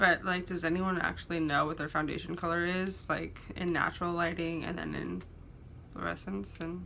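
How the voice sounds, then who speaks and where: A woman mumbles at a moderate pace, her pitch fairly low. Noticeable background noise and audible room echo fill the recording. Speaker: beauty vlogger. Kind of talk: casual get-ready-with-me chat. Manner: mumbling.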